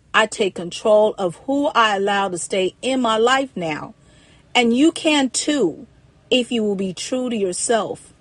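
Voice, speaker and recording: Over a quiet background, a woman with an American accent and a normal speaking voice talks at a fairly slow pace, using lively intonation at a fairly high pitch. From Ohio, Cincinnati. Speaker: domestic violence survivor and author. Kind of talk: personal testimony storytelling.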